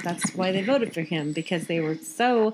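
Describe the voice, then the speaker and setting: With an American accent and lively intonation, a woman speaks over noticeable background noise. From Phoenix, Arizona, US. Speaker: podcast co-host. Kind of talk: casual chat.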